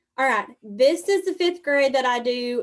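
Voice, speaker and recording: Against a quiet background, a woman with a Southern US accent talks at a moderate pace. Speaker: 4-H extension educator. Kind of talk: presentation on a video call.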